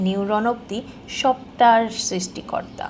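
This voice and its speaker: A woman talks while noticeable noise sounds in the background. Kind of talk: emotional spoken-word voiceover. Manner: soft, calm, heartfelt.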